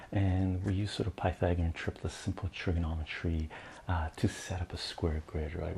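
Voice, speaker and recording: A man's very deep, low voice, dark and mellow in tone, somewhat breathy, with fairly even intonation. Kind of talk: ASMR math lesson, casual teaching talk. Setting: studio, close-mic ASMR recording.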